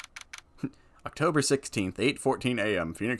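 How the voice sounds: Lively intonation shapes a natural reading voice.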